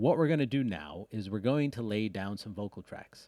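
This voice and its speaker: In a very clean recording with a silent background, a man speaks at a moderate pace. His slight Rhode Island accent comes with very wide pitch swings. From US Northeast, Rhode Island. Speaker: music producer and audio engineer. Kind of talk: tutorial. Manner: casual, with fillers and self-corrections.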